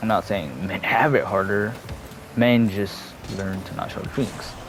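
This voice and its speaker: A man speaks at a moderate pace with ordinary pitch variation. Audible room echo and noticeable background noise are present. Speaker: gaming youtuber. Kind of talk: personal talk to camera, unscripted. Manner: halting.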